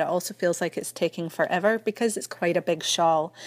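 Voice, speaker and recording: A woman with a Scottish accent speaks at a moderate pace, her pitch varying in an ordinary way. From Scotland. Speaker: knitting podcaster. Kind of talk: recorded message. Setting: recorded message from New Hampshire, US.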